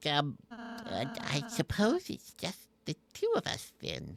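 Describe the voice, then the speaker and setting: Using a put-on character voice, a man speaks at a very slow pace with a high pitch. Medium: game stream. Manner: soft, hesitant.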